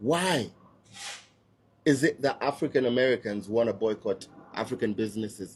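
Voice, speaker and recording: A somewhat breathy man at medium pitch, ordinary pitch variation, and long, frequent pauses. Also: moderate pace. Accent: Kenyan. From Kenya. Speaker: social media commentator. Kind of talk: opinion rant to camera. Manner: animated.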